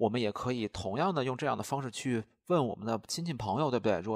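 A man talks very fast at a medium pitch with lively intonation. The recording is very clean and silent behind him, with a dry, close sound and no echo. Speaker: language teacher. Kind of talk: lecture.

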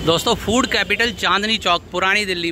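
A man's raised, projected voice at a fairly slow pace, with fairly even intonation, dry sound with no echo, and noticeable background noise. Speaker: food vlogger. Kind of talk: casual vlog chat. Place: street. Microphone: phone near.

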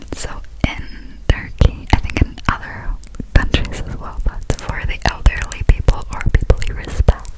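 Whispering at a moderate pace with big swings in loudness, a woman is heard over noticeable background noise. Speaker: ASMR content creator. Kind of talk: casual ASMR talk to camera, English. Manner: whispered, soft, close to the microphone.

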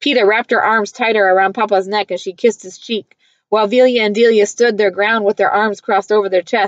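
The voice is reading aloud in a natural voice, with fairly even intonation. There is a quiet background.

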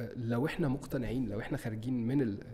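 A man is speaking. He talks at a fairly quick pace. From Egypt. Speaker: advertising creative and director; podcast guest. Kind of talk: interview. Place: studio. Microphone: studio mic.

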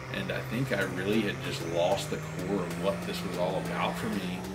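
Over clear music in the background, a man of fairly low pitch talks at a moderate pace. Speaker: car content creator. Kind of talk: casual vlog chat. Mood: reflective, somewhat somber. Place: home room.

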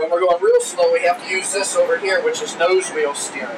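A man speaks at a moderate pace. Noticeable background noise runs through the clip. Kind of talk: tour guide explanation. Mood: enthusiastic, friendly. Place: plane.

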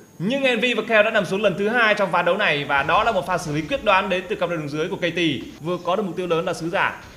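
A man speaks at a very fast pace with hardly any pauses, his voice high in pitch. Pitch variation is ordinary, and background noise is noticeable. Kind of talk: esports commentary. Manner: fluent, lively play-by-play.

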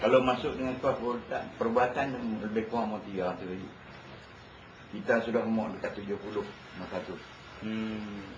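Over noticeable background noise and audible room echo, a man of medium pitch speaks at a moderate pace with fairly even intonation and long, frequent pauses. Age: 70s. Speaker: health supplement seller. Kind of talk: casual interview.

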